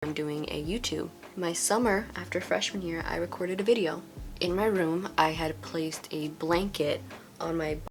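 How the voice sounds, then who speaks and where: Over music in the background and with audible room echo, a woman with an American accent speaks at a moderate pace, her pitch fairly low with ordinary variation. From US West Coast, Los Angeles. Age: 20s. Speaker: beauty vlogger. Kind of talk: casual vlog monologue while doing makeup.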